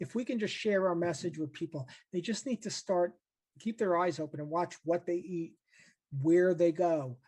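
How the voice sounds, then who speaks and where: Against a quiet background, a man with an American accent speaks at a moderate pace, his pitch high with ordinary variation. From New York. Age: 50s. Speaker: meditation teacher with multiple sclerosis. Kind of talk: interview. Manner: halting.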